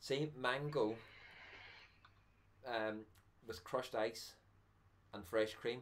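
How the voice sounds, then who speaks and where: A man talks at a very slow pace with long, frequent pauses and fairly even intonation. His medium pitch carries a Northern Irish accent. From Northern Ireland. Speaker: vaping channel host. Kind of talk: casual chat. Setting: live stream.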